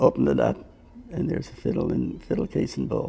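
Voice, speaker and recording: A man speaks at a moderate pace. He has a Cape Breton accent. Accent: Cape Breton Canadian. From Cape Breton, Nova Scotia. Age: 70s. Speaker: fiddle player. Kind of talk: interview storytelling. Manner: casual, with hesitations.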